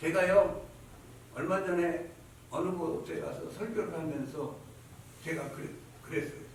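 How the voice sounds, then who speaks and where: Over noticeable background noise and audible room echo, a man speaks at a high pitch with fairly even intonation. His pace is fairly slow, with long, frequent pauses. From Chungcheong, South Korea. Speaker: pastor. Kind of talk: sermon. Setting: church service. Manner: repetitive.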